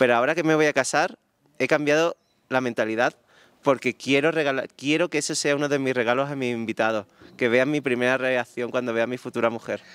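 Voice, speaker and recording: A man speaks with an Andalusian accent at a fairly quick pace. The sound is dry with no echo. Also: medium pitch for a man, fairly even intonation. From southern Andalusia, Spain. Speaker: wedding photographer; guest. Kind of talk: interview. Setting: live audience event. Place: garden. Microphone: handheld.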